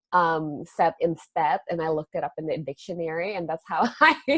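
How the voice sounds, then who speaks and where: A woman speaks at a fairly low pitch with an Indonesian accent. The sound is dry and close, with no echo. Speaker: astrology teacher and podcast host. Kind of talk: casual chat.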